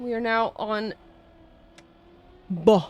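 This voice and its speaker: Her voice is fairly high, and this woman uses ordinary pitch variation. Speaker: game caster and streamer. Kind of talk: casual chat on live stream. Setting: live stream. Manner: chatty, talkative.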